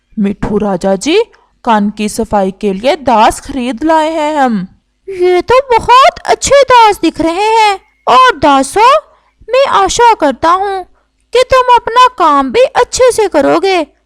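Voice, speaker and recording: A woman performs a cartoonish character voice at an extremely high pitch with very wide pitch swings. She speaks at a fairly slow pace. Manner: regal, benevolent.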